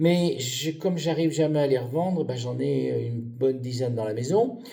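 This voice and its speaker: Here a man talks at a fairly slow pace with a medium pitch and ordinary pitch variation. Audible room echo surrounds his voice. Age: 70s. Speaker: retired pharmacist, game show applicant. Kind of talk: self-presentation video. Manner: hesitant.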